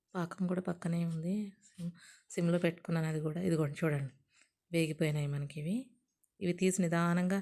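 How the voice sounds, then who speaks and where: Fairly low in pitch, a woman's dark, mellow voice keeps fairly even intonation. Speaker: cooking channel host. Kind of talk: cooking tutorial. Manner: dull, low-energy delivery.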